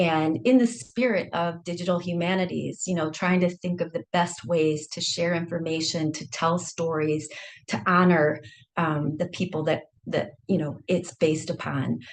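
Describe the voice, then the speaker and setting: A woman's fairly low voice with a Michigan accent, moderate pace and ordinary pitch variation. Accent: Michigan American accent, unchanged. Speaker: historian. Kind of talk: academic seminar talk.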